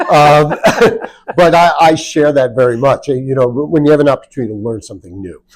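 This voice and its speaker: A man talks in an unremarkable speaking voice at a medium pitch and a fairly quick pace with lively intonation. The recording is very clean, with a silent background. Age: 60s. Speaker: interview host. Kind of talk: interview.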